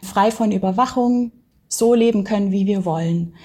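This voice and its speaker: A woman speaks at a very slow pace. Her tone is dark and mellow, somewhat breathy. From Baden-Württemberg, Germany (village). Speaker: anthropologist. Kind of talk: interview.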